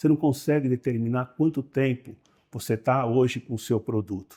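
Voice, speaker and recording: The man's voice sits at a medium pitch with a dark, mellow tone. He speaks at a moderate pace with fairly even intonation. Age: 70s. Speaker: company owner. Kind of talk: interview. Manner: halting.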